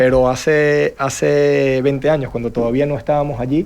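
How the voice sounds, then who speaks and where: Here a man speaks in a Venezuelan accent. His pitch is medium and his intonation fairly even. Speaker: real estate panelist. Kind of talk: panel discussion.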